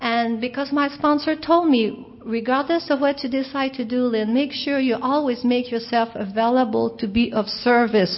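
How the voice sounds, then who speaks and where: Against noticeable background noise, a woman with a high pitch talks at a moderate pace with ordinary pitch variation. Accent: French Canadian. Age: 50s. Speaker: recovering alcoholic speaker. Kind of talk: recovery talk.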